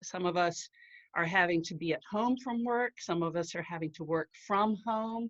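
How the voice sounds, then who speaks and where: A woman at medium pitch talks at a moderate pace with ordinary pitch variation in an ordinary speaking voice, the sound dry and close with no echo against a quiet background. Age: 60s. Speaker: writer and marketing professional sharing her mental health story. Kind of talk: prepared talk. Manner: formal.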